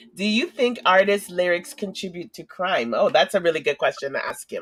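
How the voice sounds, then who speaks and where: A woman with a plain, everyday voice and a medium pitch speaks at a moderate pace, her pitch varying in an ordinary way. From Canada, Toronto, Jamaican family. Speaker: live stream host. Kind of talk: interview on a live stream.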